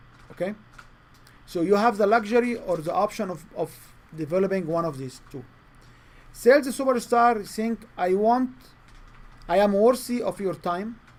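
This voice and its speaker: Speaking at a moderate pace with a non-native accent, a man uses a high pitch, ordinary pitch variation, big swings in loudness, and long, frequent pauses. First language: not English. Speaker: sales trainer. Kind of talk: training session. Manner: halting.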